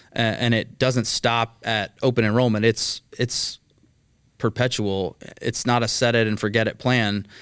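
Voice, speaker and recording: Speaking at a fairly slow pace with a Texan accent, a man keeps a medium pitch and monotone, flat intonation in a very clean, dry, close recording with a silent background and no echo. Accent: Texan American. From Texas, Dallas area (Mesquite). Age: 30s. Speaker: healthcare cost containment executive. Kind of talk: podcast interview.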